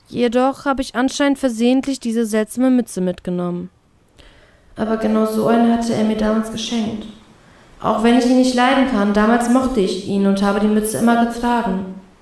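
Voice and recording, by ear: With a slightly mellow tone, a woman speaks at a moderate pace in a fairly high voice with fairly even intonation.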